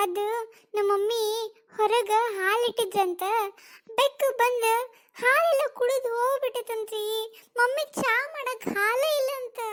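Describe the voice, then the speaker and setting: A woman speaks in a cartoonish character voice at an extremely high pitch. Her pace is very slow. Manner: chatty, cheeky.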